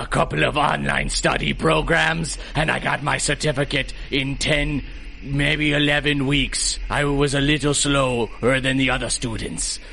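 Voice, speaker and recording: Putting on a theatrical character voice, a man speaks at a moderate pace and a fairly high pitch over clear background noise. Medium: audio drama. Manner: theatrical, blustering.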